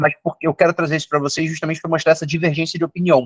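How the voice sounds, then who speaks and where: This is a man speaking. His pitch is fairly high. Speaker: psychiatrist. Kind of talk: lecture. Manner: fast.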